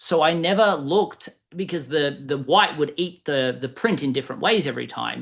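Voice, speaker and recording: A man speaks at a fairly quick pace with a fairly high pitch. Vocal fry runs through his voice. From Australia. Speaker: sales coach and author. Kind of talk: interview.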